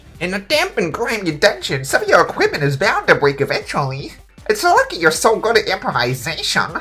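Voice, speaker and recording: A man's put-on character voice at a high pitch and a fairly quick pace. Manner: nerdy, enthusiastic.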